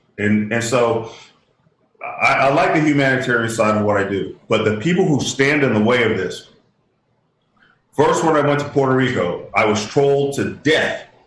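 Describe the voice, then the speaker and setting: A man with a medium pitch and ordinary pitch variation talks at a moderate pace, leaving long, frequent pauses, with audible room echo. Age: 60s. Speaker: inventor and humanitarian. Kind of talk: interview. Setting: radio show. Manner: halting.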